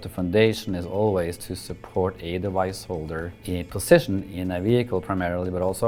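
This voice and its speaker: At a moderate pace, a man with a Norwegian accent speaks in a very deep, low pitch with fairly even intonation. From Norway. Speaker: company owner. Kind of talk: corporate interview.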